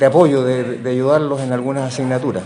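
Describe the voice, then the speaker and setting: There is audible room echo and noticeable background noise. A man of medium pitch talks with a Chilean accent. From Chile, Valparaíso. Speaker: professor. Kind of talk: interview. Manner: halting.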